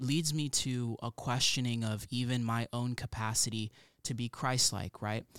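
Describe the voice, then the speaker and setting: This man has a normal speaking voice at a medium pitch, talking at a moderate pace with fairly even intonation in a dry, close sound with no echo on a very clean recording with a silent background. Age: 20s. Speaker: recent graduate and student mentor. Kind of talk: testimony.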